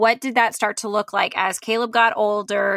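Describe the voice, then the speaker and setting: A woman speaks with a Southern US accent. Her tone is bright and sharp. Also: dry, close sound with no echo. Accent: US South. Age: 30s. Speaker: podcast co-host. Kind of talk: casual chat; sponsor read. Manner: animated.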